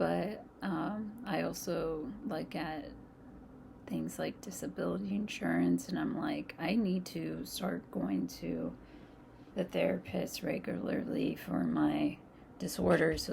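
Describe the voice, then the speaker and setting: Someone talks at a fairly slow pace with noticeable background noise. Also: woman. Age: 30s. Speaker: vlogger. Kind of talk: casual storytime monologue. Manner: halting.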